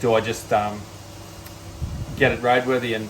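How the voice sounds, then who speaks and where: A man with an Australian accent, medium in pitch, at a fairly quick pace, in monotone, flat intonation, against noticeable background noise. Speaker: car restoration YouTuber. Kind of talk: casual vlog talk to camera. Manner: halting, many fillers.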